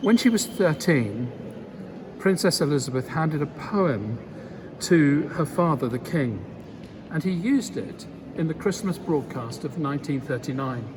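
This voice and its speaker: In a room with audible echo, a man speaks at a moderate pace and fairly high pitch with lively intonation, leaving long, frequent pauses. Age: 60s. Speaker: bishop. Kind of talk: spoken reflection. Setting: cathedral. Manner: measured, solemn.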